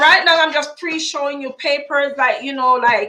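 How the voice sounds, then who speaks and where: In a raised, projected voice with a bright, sharp tone, a woman speaks at a moderate pace with ordinary pitch variation. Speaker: lottery YouTuber. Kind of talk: live stream tutorial.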